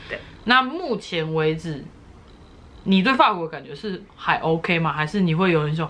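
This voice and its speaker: A woman speaks with a fairly low pitch. Her loudness swings a lot. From Taiwan. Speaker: YouTuber. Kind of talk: casual interview. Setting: at home. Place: home room. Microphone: phone near.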